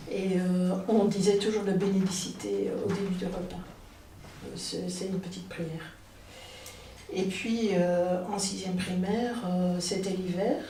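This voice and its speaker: Through noticeable background noise and audible room echo, a woman speaks at a fairly slow pace and medium pitch with monotone, flat intonation and long, frequent pauses. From Belgium, near Liège. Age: 60s. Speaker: storyteller. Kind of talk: personal storytelling. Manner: hesitant, many filler sounds.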